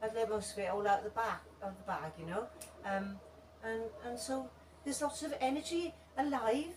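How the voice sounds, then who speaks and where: A woman at a fairly high pitch and moderate pace, with very wide pitch swings and long, frequent pauses, over noticeable background noise. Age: 60s. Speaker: breathwork teacher and body worker. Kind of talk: talk with audience Q&A. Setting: seminar with live audience, unamplified. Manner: hesitant, many fillers and repetitions.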